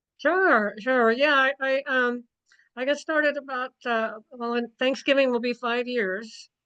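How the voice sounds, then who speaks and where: At a fairly slow pace, a raised, projected voice with a bright, sharp tone keeps a fairly even intonation. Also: woman, high pitch for a woman. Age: 70s. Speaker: health product distributor. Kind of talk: testimony. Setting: video call.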